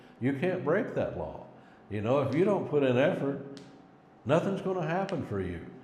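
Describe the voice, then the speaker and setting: Audible room echo carries a man's voice as he speaks with an American accent and very wide pitch swings. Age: 60s. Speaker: cleaning business owner and coach. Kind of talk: casual motivational talk to camera. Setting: self-recorded on phone camera.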